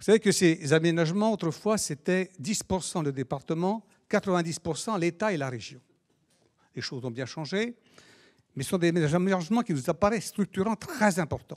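Against a quiet background, a man speaks high for a man with lively intonation. His pace is fairly slow. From France. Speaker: local politician. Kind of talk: speech. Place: hall. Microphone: handheld.

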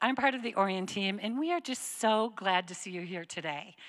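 Over a quiet background, a woman speaks at a moderate pace in a bright, sharp tone. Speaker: church campus director host. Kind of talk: church announcements and welcome. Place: stage. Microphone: handheld.

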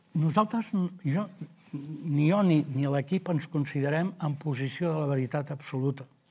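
The voice is somewhat breathy, with ordinary pitch variation, and moves at a fairly slow pace. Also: man, fairly high pitch for a man. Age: 70s. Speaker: local election candidate; election candidate. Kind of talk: interview. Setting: studio. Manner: halting. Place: studio. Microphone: lapel.

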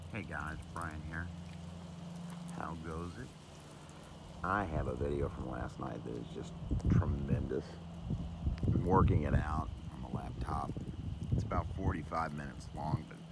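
A man speaks at a fairly slow pace with long, frequent pauses and ordinary pitch variation. The sound is dry with no echo, though loud background noise is present. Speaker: vlogger sky watcher. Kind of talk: casual vlog chat. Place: open country. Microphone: phone near.

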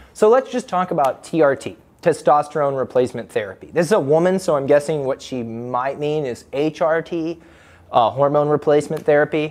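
His pitch varies in an ordinary way. The man keeps a moderate pace. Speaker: fitness coach. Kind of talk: Q&A commentary. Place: gym. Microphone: lapel.

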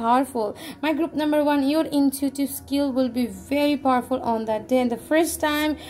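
Against light background noise, a woman talks in a high pitch with fairly even intonation. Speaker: tarot reader. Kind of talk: tarot reading addressed to viewers.

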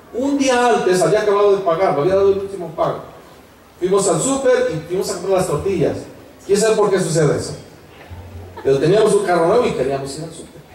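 Speech at a very fast pace with lively intonation is broken by long, frequent pauses, with light background noise and audible room echo. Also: man, high pitch for a man. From Mexico. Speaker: pastor. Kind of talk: sermon. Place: tent.

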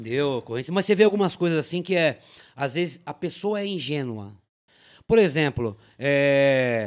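Over a quiet background, a man with an ordinary speaking voice talks at a moderate pace, his fairly high pitch rising and falling with lively intonation. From São Paulo city (Tatuapé); São Paulo. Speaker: police officer; podcast guest. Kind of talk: casual chat. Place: studio. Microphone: studio mic.

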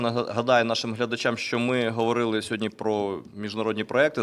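Here a man has an unremarkable speaking voice at a medium pitch and moderate pace. The recording is very clean, with a silent background. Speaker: briefing moderator. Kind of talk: press briefing. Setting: studio. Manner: formal.

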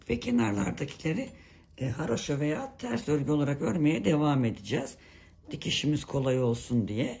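Somewhat breathy delivery from a woman at a moderate pace. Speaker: knitting tutorial creator. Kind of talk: tutorial. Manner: hesitant with many fillers.

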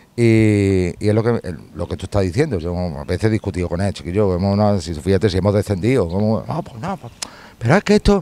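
A man's dark, mellow voice, fairly low in pitch with ordinary variation, at a fairly quick pace, in a dry sound with no echo. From Andalusia, Spain. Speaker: video reporter. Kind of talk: on-location interview. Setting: outdoors at a football stadium gate. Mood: warm, nostalgic about a friend. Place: street.

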